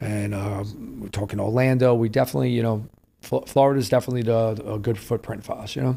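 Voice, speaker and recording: Speaking very fast with a New York accent, a man has a dark, mellow tone at a medium pitch with ordinary pitch variation. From New York City, Lower East Side and Queens. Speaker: restaurateur and former nightclub promoter. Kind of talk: podcast interview. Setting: New York City.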